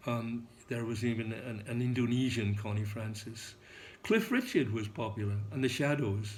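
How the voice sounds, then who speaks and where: A man's somewhat breathy, medium-pitched voice comes with audible room echo. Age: 80s+. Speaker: English teacher. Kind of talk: lecture. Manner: halting, many fillers.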